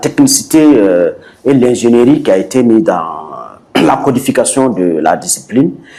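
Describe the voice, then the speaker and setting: Against noticeable background noise, a man with a Burkinabe accent talks at a medium pitch and moderate pace with lively intonation. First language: Bissa (speaking French). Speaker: sport creator. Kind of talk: interview. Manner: hesitant, many fillers.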